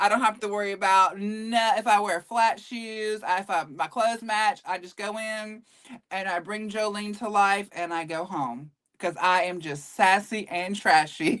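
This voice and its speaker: A woman with a Southern US accent speaks at a moderate pace in a medium pitch, her intonation varying in an ordinary way while her loudness swings widely. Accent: Southern US twang, mild. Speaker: voice actor.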